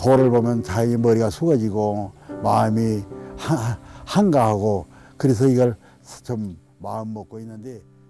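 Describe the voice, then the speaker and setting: With music in the background, a man speaks at a fairly slow pace. His loudness swings widely, and he pauses long and often. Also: medium pitch for a man, ordinary pitch variation. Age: 80s+. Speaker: soapstone craftsman. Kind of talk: documentary interview answer.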